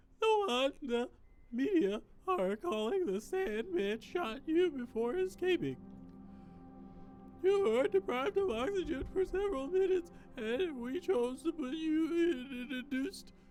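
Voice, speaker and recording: Over clear background music, a put-on character voice speaks at a moderate pace. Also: man, extremely high pitch for a man. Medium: game stream. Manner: calm, clinical.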